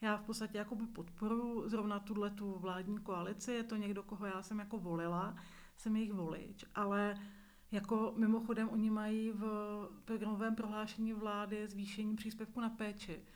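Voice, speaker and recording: A woman's fairly high, monotone voice at a moderate pace, with flat intonation and audible room echo. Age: 40s. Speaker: visually impaired media worker, nonprofit leader. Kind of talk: interview testimony.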